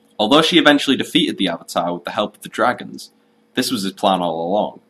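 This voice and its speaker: A man speaks with a Yorkshire accent. His pace is very fast and his intonation lively. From Yorkshire, England. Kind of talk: video game lore narration.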